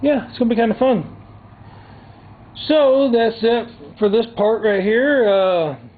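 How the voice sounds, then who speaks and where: A man with a Southern US accent and an extremely high pitch, ordinary pitch variation, and long, frequent pauses. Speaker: DIY vlogger. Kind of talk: tutorial. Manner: soft-spoken; casual.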